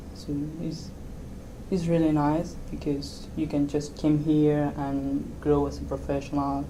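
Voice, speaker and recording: A woman with an Argentine accent at a fairly slow pace, with audible room echo. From Argentina. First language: Spanish. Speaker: software developer. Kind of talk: interview. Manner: halting.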